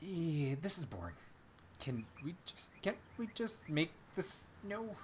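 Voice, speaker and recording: Against clear background noise, a put-on character voice talks at a middle pitch and a fairly slow pace. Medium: read story. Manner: goofy, excitable.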